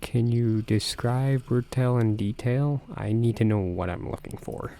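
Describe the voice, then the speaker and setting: A man speaks quietly at a medium pitch. His pace is fairly slow and his intonation fairly even. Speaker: gaming video creator. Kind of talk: reading game dialogue aloud; let's play commentary. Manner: quiet, kept down.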